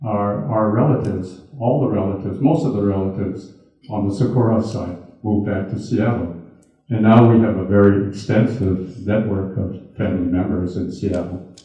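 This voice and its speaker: With an American accent, a man talks at a moderate pace in a fairly low pitch, using ordinary pitch variation, and the room echo is audible. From US Midwest, Milwaukee. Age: 80s+. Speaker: retired businessman and internment survivor speaker. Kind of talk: talk with audience Q&A. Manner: halting, with repeated words.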